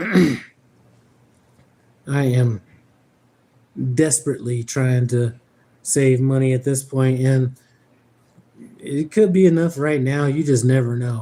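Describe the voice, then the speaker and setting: Speaking at a very slow pace with long, frequent pauses, a man with an American accent has a medium pitch, a dark, mellow tone and ordinary pitch variation. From Denver, Colorado. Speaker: truck driver and livestream host. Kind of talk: casual livestream chat. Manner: animated.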